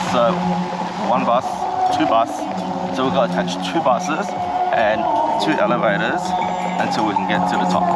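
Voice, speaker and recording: A man talks fairly quickly as loud noise fills the background. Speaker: travel vlogger. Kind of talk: casual vlog chat. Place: street. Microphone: phone near.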